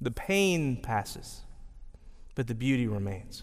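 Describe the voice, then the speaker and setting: Audible room echo surrounds a man with a Texan accent. He speaks at a fairly slow pace. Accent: Texan Southern US. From East Texas, rural. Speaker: pastor. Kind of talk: sermon. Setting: chapel with audience.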